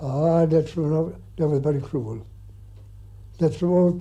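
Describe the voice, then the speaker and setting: A man with a rural Irish accent speaks at a moderate pace, his dark, mellow tone carried on fairly even intonation. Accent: rural Irish (Clare). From County Clare, Ireland. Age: 80s+. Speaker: farmer. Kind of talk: interview answer.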